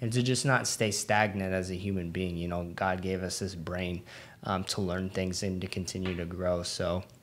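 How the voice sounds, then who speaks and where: A man speaks at a moderate pace in a very deep, low voice with fairly even intonation. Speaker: podcast co-host. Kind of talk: casual chat. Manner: rambling, hesitant with fillers.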